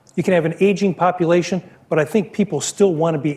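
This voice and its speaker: Over a silent background in a very clean recording, a man speaks at a moderate pace with fairly even intonation. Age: 60s. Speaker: business executive. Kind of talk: Q&A at a university talk. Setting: stage with audience. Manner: halting, many repeated words.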